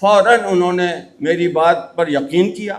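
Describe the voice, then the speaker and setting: Audible room echo surrounds a man's high voice, which shows ordinary pitch variation. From Punjab, Pakistan. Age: 80s+. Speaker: geoscientist. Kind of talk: speech at a ceremony. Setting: stage with audience. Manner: halting.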